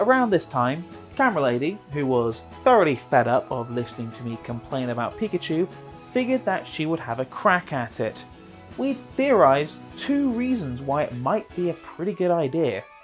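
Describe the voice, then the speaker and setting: A man with an English accent talks at a moderate pace, his pitch swinging very widely, with music in the background. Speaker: video narrator, game reviewer.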